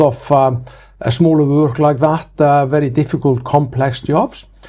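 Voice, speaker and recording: In an Icelandic accent, a man speaks with a dark, mellow tone at a fairly high pitch. His intonation is monotone and flat, at a moderate pace. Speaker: building inspector, franchise owner. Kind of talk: interview. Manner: hesitant, many fillers.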